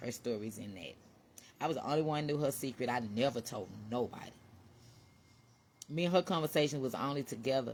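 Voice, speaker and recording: The delivery is animated and very fast, with ordinary pitch variation. Long pauses break it up frequently. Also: woman, very deep, low pitch for a woman. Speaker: vlogger. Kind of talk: casual monologue. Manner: loud.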